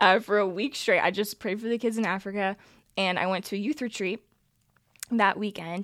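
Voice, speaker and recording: A woman speaks at a fairly quick pace in a plain, everyday voice, her pitch medium and her intonation fairly even. The recording is very clean, with a silent background. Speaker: Bible college student. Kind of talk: casual chat.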